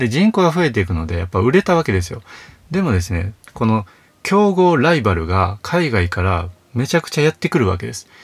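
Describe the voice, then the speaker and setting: Somewhat breathy, a man speaks at a fairly quick pace and medium pitch with very wide pitch swings. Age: 30s. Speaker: counselor and author, podcast host. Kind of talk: solo monologue podcast. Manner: frequent filler words.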